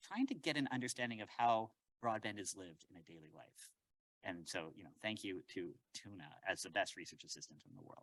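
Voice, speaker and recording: A man talks fairly quickly in a fairly low voice, with lively intonation and big swings in loudness. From Canada, Winnipeg. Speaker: professor. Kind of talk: lecture. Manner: fast; animated.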